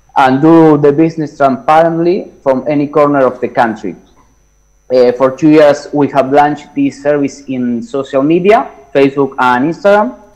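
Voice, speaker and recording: Pitched fairly high, a man talks at a moderate pace with ordinary pitch variation. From Argentina. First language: Spanish. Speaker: startup founder pitching a challenge. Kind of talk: pitch presentation. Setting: video call. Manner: halting.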